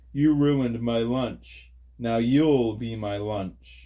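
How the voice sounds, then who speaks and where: In a booming put-on character voice, the speaker talks at a very slow pace with fairly even intonation. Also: man, medium pitch for a man. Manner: menacing.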